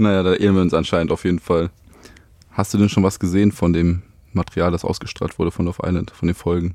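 Very deep and low in pitch, a man speaks at a very fast pace with a dark, mellow tone and a monotone, flat intonation. The sound is dry and close, with no echo. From Germany, Düsseldorf. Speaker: podcast host, former reality TV contestant. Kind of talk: casual interview chat.

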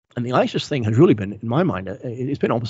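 This man's voice is somewhat breathy. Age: 50s. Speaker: historian and author. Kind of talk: interview. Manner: frequent fillers and hesitations.

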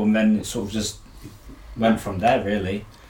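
A somewhat breathy male voice. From Norfolk, England. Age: 20s. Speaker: parkour athlete. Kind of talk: casual chat.

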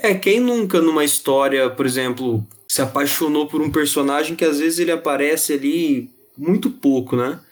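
The delivery keeps a moderate pace with ordinary pitch variation. Loudness stays very even throughout. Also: man, fairly high pitch for a man. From interior São Paulo state, Ribeirão Preto. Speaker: podcast co-host. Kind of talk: casual chat.

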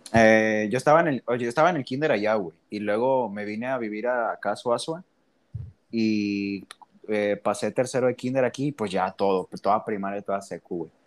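A man has an ordinary speaking voice, fairly low in pitch with ordinary pitch variation, speaking at a moderate pace in a dry, close sound with no echo. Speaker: podcast host. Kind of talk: casual chat.

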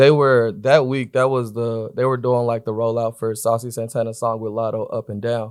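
Using a normal speaking voice, a man talks with an American accent at a medium pitch. His intonation is fairly even and his pace moderate. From Atlanta, US South. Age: 20s. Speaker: record label influencer marketing director. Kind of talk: casual interview chat.

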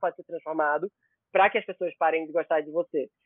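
This man has a high pitch. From Pernambuco interior, Brazil. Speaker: celebrity journalist. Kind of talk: casual chat.

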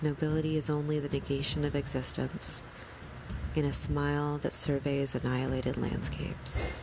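A woman speaks at very even loudness over noticeable background noise. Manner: slow, measured, deliberate and calm, with pauses and a soothing even cadence; quiet, soft-spoken, somber and contemplative, occasionally self-correcting a stumble.

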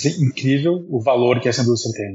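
A somewhat breathy man's voice at a medium pitch. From abroad: Taiwan, Turkey, Portugal, Netherlands. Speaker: marketing executive. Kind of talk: interview.

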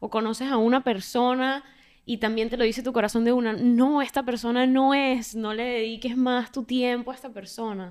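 At a high pitch, a woman speaks in a monotone, flat intonation at a moderate pace, in a very clean recording with a silent background. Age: 20s. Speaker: podcast co-host. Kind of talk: casual chat.

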